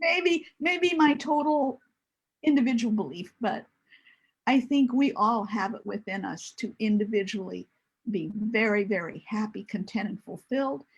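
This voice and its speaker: Against a quiet background, a woman with a fairly high, somewhat breathy voice speaks at a moderate pace, her pitch swinging very widely. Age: 70s. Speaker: single mother sharing her story. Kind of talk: casual chat.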